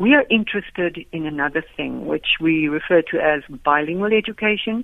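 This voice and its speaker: In a South African accent, a woman speaks at a moderate pace with a fairly low pitch and ordinary pitch variation. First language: Afrikaans. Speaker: education professor. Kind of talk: radio interview. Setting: phone call.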